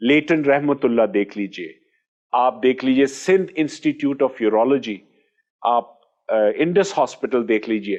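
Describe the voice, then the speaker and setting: A man talks in an ordinary speaking voice at a medium pitch with ordinary pitch variation. The background is quiet. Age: 60s. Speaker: orthopaedic surgeon. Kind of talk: interview.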